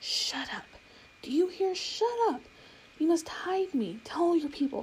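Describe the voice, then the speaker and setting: A woman whispers in a put-on character voice. She keeps a fairly slow pace. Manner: furious whisper.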